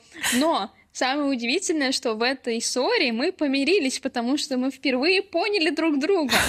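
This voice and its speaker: Over noticeable background noise, a woman speaks at a high pitch and moderate pace. Her intonation is lively while her loudness stays very even. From Ulyanovsk, Russia. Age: 20s. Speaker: podcast co-host, university student. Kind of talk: casual chat.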